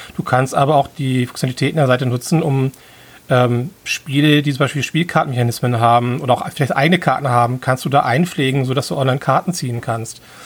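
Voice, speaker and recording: At a very fast pace, a man of medium pitch talks with fairly even intonation. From Hamburg, northern Germany. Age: 40s. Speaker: event organizer. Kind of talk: casual chat.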